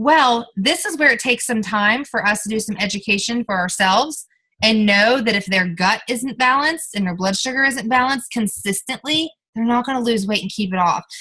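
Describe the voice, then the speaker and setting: A woman's fairly high, bright, sharp voice, animated in tone, at a fairly quick pace with ordinary pitch variation. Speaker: network marketing team leader. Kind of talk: team training call. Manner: fast.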